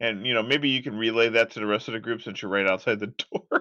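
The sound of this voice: A man speaks fast with a bright, sharp tone, a fairly low pitch and ordinary pitch variation.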